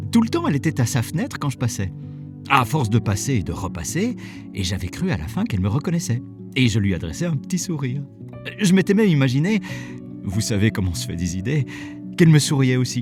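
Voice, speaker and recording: Music plays behind a man speaking at a very fast pace with long, frequent pauses. His medium pitch moves in very wide swings. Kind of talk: short story narration, first person. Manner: conversational, humorous.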